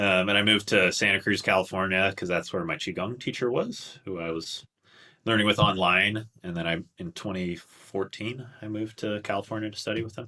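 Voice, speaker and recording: Talking at a fairly quick pace, a man with a Canadian accent has a bright, sharp tone and a fairly low pitch. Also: fairly even intonation, very clean recording, silent background. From Canada, Toronto. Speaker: qigong instructor. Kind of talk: casual interview chat.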